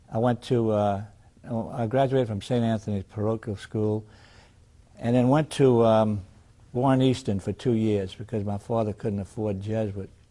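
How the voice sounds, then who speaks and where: A man's fairly low, dark, mellow voice in a New Orleans accent, fairly even in intonation, with long, frequent pauses. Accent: New Orleans Southern US. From New Orleans, Louisiana. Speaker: retired attorney. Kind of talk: oral history interview. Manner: halting, frequent fillers and restarts.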